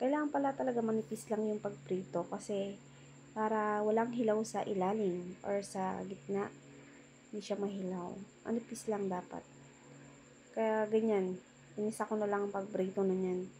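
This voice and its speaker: A woman's medium-pitched voice keeps a moderate pace, rising and falling in an ordinary way. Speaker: cooking vlogger. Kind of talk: cooking vlog voice-over. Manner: casual, chatty.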